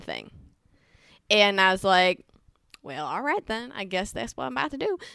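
A woman's bright, sharp tone at a moderate pace. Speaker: TV series creator and actress. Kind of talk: interview. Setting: home studio. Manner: direct.

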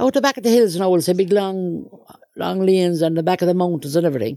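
Talking at a very fast pace, a woman uses lively intonation at a fairly low pitch, her tone dark and mellow. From Ireland. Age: 70s. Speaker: interviewee, Irish Traveller mother. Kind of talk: life story interview. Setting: in a caravan.

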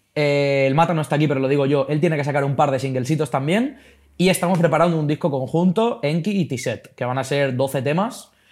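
An unremarkable speaking voice from a man, fairly high in pitch with ordinary pitch variation, at a fairly quick pace on a very clean recording with a silent background. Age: 20s. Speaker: rapper and esports club CEO. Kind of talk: casual interview chat.

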